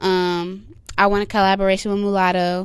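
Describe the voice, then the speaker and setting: Soft-spoken, a woman talks at a medium pitch with a monotone, flat intonation. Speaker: rapper. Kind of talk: interview.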